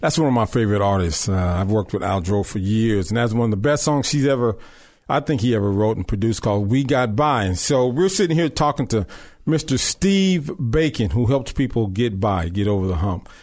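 Against a quiet background, a man with an American accent speaks at a fairly quick pace in a medium pitch, with an animated tone, lively intonation and very even loudness. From Long Beach, California. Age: 50s. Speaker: radio host. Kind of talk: interview. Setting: studio.

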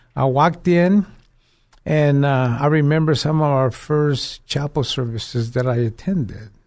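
An unremarkable speaking voice moves at a fairly slow pace with ordinary pitch variation over a quiet background. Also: man, fairly high pitch for a man. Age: 60s. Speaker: ministry director. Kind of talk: interview, testimony. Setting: studio.

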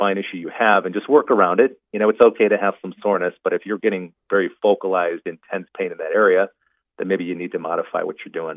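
A man's fairly low-pitched, unremarkable speaking voice, with fairly even intonation and a fairly quick pace. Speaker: pain specialist doctor. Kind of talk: interview about health, casual expert talk.

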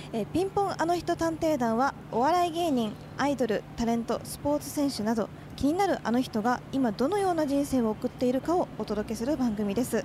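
Amid noticeable background noise, a woman speaks fairly quickly at a high pitch with lively intonation. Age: young. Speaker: radio host. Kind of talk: casual chat. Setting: on location.

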